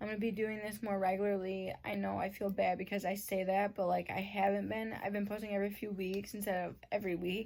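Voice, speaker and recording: In a flat monotone, a woman talks at a medium pitch. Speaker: YouTube vlogger. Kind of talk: personal storytelling to camera.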